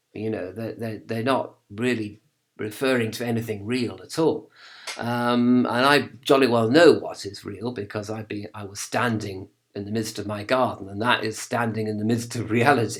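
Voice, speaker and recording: In a very clean recording with a silent background, a man with an English accent speaks at medium pitch and a moderate pace, with fairly even intonation and big swings in loudness. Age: 50s. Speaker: video blogger on religion. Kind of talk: casual monologue. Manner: hesitant, many fillers.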